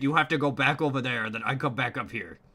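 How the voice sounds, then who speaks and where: Using a raspy, put-on character voice at medium pitch, a man speaks at a very fast pace. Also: ordinary pitch variation. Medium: actual play. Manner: rambling, hedging, playful.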